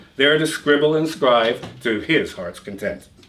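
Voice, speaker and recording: Amid noticeable background noise, a man with a fairly high pitch talks at a moderate pace. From Canada. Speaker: writer. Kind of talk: fiction reading.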